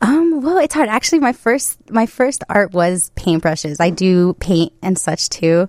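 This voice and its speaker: In a Chicago accent, a woman talks at a fairly slow pace with hardly any pauses, medium pitch, very wide pitch swings and very even loudness, in a dry, close sound with no echo. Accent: Chicago American. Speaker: photographer. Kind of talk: interview.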